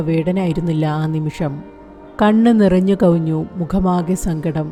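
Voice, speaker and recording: Music plays behind a woman whose medium-pitched voice shows ordinary pitch variation. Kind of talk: news report narration.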